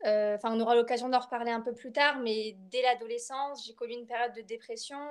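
At a fairly quick pace, a woman with a high pitch speaks in monotone, flat intonation. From France, Bordeaux. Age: 20s. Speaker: literature student and poet. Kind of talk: personal testimony interview. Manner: hesitant, many fillers and repetitions.

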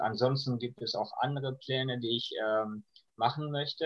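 A somewhat breathy voice at a fairly slow pace. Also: man. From Iran. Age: 20s. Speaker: refugee sharing life story. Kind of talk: interview. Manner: hesitant, many fillers.

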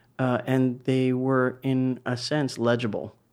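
A man speaks at medium pitch. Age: 40s. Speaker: author. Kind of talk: interview. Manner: halting, many fillers.

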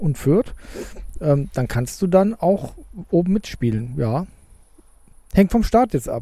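In a dark, mellow tone, a man talks at a moderate pace with a fairly high pitch. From southern Cologne area. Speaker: football podcast co-host. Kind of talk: casual chat. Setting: outdoors in a garden under an umbrella.

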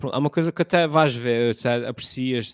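A man's fairly even intonation in a very clean recording against a silent background. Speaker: content creator. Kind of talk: casual chat.

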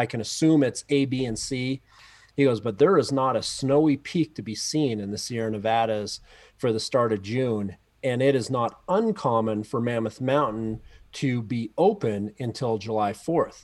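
On a very clean recording with a silent background, a man speaks in a plain, everyday voice at medium pitch and a moderate pace, with ordinary pitch variation. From Canada. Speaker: athletics coach. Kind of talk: casual chat.

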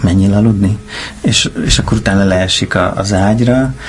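A man talks at a moderate pace with ordinary pitch variation. Noticeable background noise runs under his voice. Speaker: film director. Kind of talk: casual interview. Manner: halting, many repetitions and fillers.

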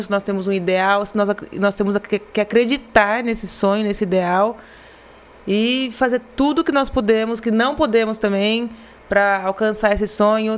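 A woman at a moderate pace, medium in pitch, with fairly even intonation over noticeable background noise. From Brazil, Garça (São Paulo state interior). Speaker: marketing director of family company. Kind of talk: casual interview. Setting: live podcast studio. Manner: halting, repeats words.

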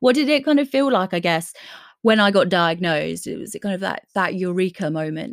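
A woman's ordinary speaking voice at medium pitch, lively intonation and a fairly quick pace, in a dry, close sound with no echo. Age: 20s. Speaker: podcast host. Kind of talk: casual chat. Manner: laughs often.

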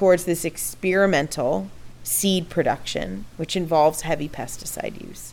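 A woman speaks with vocal fry at a fairly low pitch. Her pitch variation is ordinary. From Texas, Houston. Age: 30s. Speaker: food policy activist. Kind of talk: casual interview. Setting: outdoor deck at home.

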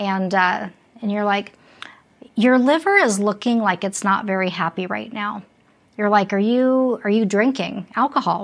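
This woman has an ordinary speaking voice, medium in pitch, with ordinary pitch variation, a moderate pace and an American accent. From Las Vegas, Nevada. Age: 50s. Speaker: podcast host. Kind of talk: interview.

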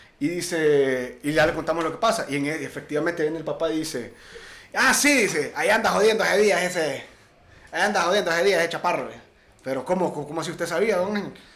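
This man talks at a fairly quick pace in a high pitch, with ordinary pitch variation and audible room echo. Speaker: podcast co-host. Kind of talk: casual chat.

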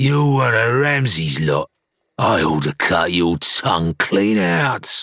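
A raspy, put-on character voice speaks at a fairly slow pace. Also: man, fairly low pitch for a man. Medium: read story. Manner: belligerent, sneering.

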